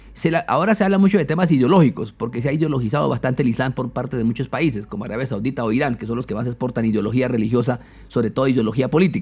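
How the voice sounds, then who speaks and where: Very fast and with hardly any pauses, a man speaks at a medium pitch, somewhat breathy, with lively intonation. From Colombia, eastern plains (Meta). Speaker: philosopher and imam. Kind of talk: interview conversation.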